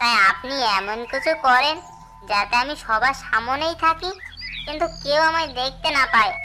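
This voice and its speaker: In a cartoonish character voice that sounds female, the speaker moves at a moderate pace. Background noise is clearly audible. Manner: chattering, talks to himself.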